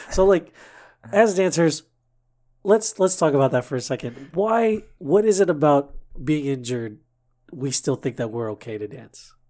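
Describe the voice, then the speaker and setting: An American man speaks in a fairly high pitch with a dark, mellow tone and very wide pitch swings. He leaves long, frequent pauses on a very clean recording with a silent background. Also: moderate pace. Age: 30s. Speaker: fill-in podcast host, dancer. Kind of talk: casual chat.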